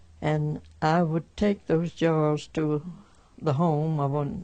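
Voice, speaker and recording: A woman with a Southern US accent speaks at a very slow pace, her pitch very deep and low and her tone dark and mellow. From rural Alabama. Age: 80s+. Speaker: 1918 flu pandemic survivor. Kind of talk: interview answer.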